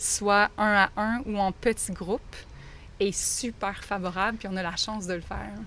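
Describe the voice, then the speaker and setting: At a fairly slow pace, a woman in a Quebec accent speaks at medium pitch with monotone, flat intonation. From Quebec, Lac-Mégantic region. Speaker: teacher. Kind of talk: interview.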